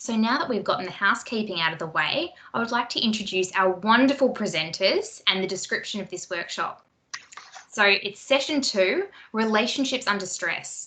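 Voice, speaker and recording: At a moderate pace, a woman with an Australian accent speaks in a fairly high pitch with lively intonation. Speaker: workshop moderator. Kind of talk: online workshop housekeeping instructions. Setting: video call.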